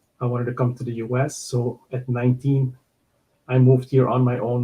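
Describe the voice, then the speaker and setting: A man at medium pitch with a Surinamese accent. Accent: Surinamese-Dutch. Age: 50s. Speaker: podcast guest. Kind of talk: casual interview.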